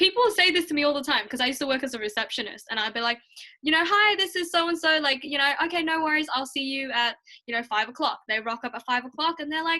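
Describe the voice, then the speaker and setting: In a raised, projected voice with a bright, sharp tone, a woman talks at a very fast pace, pitched high with lively intonation. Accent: Australian. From Australia, raised there from age seven; early childhood in Hong Kong. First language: Mandarin Chinese. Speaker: student YouTuber. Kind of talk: casual chat. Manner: animated.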